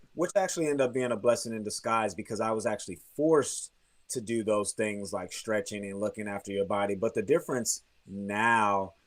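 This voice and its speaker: He has a plain, everyday voice pitched fairly low. The man talks at a fairly quick pace with ordinary pitch variation. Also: very clean recording, silent background. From Texas, grew up partly in Germany. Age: 30s. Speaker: professional basketball player. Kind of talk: interview.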